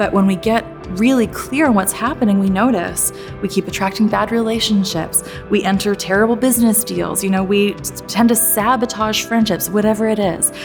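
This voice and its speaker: Music in the background behind a woman speaking at a moderate pace. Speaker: motivational speaker. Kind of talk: motivational keynote talk.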